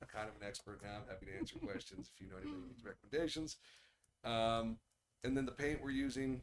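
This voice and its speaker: Enthusiastic in tone, a man talks at a very fast pace in a medium pitch with ordinary pitch variation and big swings in loudness. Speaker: business owner presenting at city meeting. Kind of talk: public meeting update. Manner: less enthusiastic sounding.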